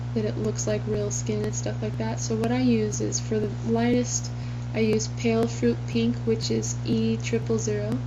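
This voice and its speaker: A woman speaks at a moderate pace with audible room echo and noticeable background noise. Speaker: comic artist. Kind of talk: tutorial. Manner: whispering.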